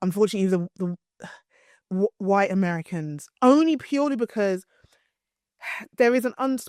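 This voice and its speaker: A woman with a British accent speaks at a moderate pace and medium pitch, animated in tone with lively intonation. Her long, frequent pauses come through a dry, close sound with no echo. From East London (Hackney), England. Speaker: PR and communications strategist. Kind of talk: interview.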